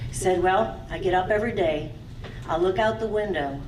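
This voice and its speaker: Lively intonation and a moderate pace carry through audible room echo and noticeable background noise. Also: woman. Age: 60s. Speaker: stage show emcee. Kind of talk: live show introduction and storytelling.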